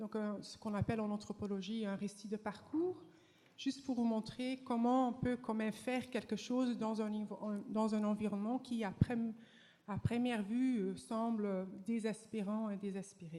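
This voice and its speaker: A woman speaks with a slight Flemish accent at a fairly high pitch and moderate pace. Her dark, mellow tone is somewhat breathy, with fairly even intonation. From Flanders, Belgium. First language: Dutch (Flemish) (speaking French). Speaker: professor. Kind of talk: conference talk. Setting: stage with audience. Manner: halting, many hesitations.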